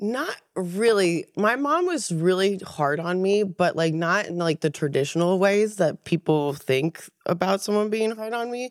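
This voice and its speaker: An unremarkable speaking voice belongs to this woman with an American accent, pitched at a medium level. She talks at a fairly slow pace with lively intonation. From central Pennsylvania. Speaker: glass artist. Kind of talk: casual interview chat.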